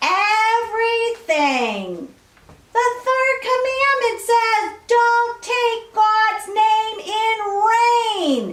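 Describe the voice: Extremely high in pitch, a put-on character voice moves at a very slow pace.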